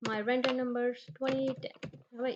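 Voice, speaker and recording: A woman's fairly high voice in a Punjabi accent, at a fairly slow pace. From Punjab, India. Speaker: immigration tutorial creator. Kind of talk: tutorial. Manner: halting.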